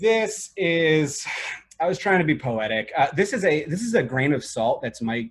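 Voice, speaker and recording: A man speaks with an American accent and lively intonation. His pace is moderate. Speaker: emergency medicine chief resident. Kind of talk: webinar presentation. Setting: video call. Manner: loud; animated.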